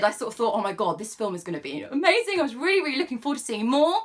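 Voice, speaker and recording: A woman talks at a very fast pace in a high pitch, her tone animated and her pitch swinging very widely. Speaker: film reviewer. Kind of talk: casual film review monologue.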